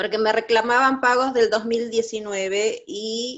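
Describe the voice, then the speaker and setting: The speaker is a woman with ordinary pitch variation. She talks at a fairly slow pace. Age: 60s. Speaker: church group member. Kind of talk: testimony. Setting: video call. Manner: halting.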